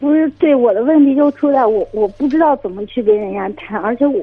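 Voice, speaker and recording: This woman talks at a fairly quick pace with hardly any pauses, her high pitch carried by lively intonation. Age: 20s. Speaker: caller seeking dating advice. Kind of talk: call-in advice conversation. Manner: halting.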